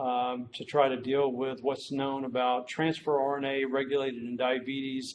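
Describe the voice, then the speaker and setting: His intonation is flat and monotone. The man keeps a medium pitch and a moderate pace. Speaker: medical researcher, professor. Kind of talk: lecture. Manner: hesitant, many fillers.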